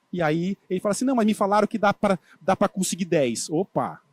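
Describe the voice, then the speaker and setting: With a coastal Santa Catarina accent, a man speaks at a high pitch and moderate pace, his intonation lively and the sound dry and close with no echo. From Santa Catarina coast, southern Brazil. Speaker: agribusiness solar sales speaker. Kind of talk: conference talk. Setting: stage at industry event. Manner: casual, conversational.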